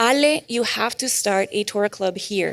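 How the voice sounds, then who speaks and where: A woman with a fairly high pitch speaks in a Spanish accent. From Mexico. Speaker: Bible study group leader. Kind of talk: testimony. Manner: casual, with frequent fillers.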